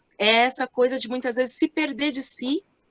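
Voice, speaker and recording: A woman speaks at a high pitch and moderate pace. The sound is dry and close, with no echo. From Greater São Paulo, Brazil (Rio Grande da Serra). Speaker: entrepreneur, company CEO. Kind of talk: online panel discussion. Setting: online event.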